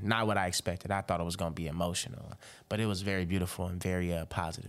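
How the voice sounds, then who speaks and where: At a very fast pace, a man with a very deep, low pitch talks in an American accent on a very clean recording with a silent background. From Robbins, Illinois, near Chicago. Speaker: rapper. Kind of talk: casual podcast interview. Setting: podcast interview. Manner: animated, conversational, frequent filler.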